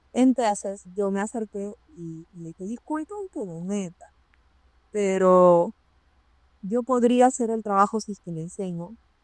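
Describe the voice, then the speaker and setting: At a fairly slow pace, a woman with a plain, everyday voice speaks at medium pitch with ordinary pitch variation and big swings in loudness, the sound dry and close with no echo. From Peru. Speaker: occupational safety professional. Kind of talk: interview storytelling.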